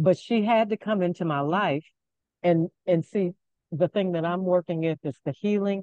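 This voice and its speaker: A woman's fairly low, dark, mellow voice at a moderate pace, with ordinary pitch variation and a dry, close sound with no echo. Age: 70s. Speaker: participant in online class, beauty professional. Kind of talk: personal testimony in group video call. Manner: animated, emotional.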